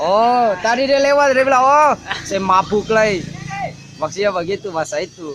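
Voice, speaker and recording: With an Ambonese accent, a man speaks at a moderate pace in a high voice with lively intonation over noticeable background noise. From Ambon, Maluku. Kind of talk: casual vlog conversation.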